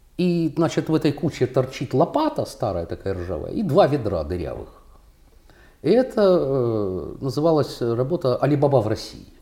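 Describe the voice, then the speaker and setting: A man's fairly high voice with vocal fry, a dark, mellow tone, very wide pitch swings and a moderate pace. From Russia. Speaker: contemporary artist. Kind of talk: casual interview conversation.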